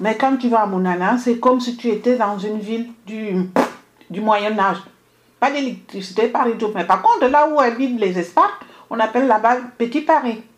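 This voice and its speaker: Her pitch fairly high with ordinary variation, a woman talks at a moderate pace. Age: 50s. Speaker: radio journalist. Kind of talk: radio debate. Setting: radio studio, live stream. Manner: halting.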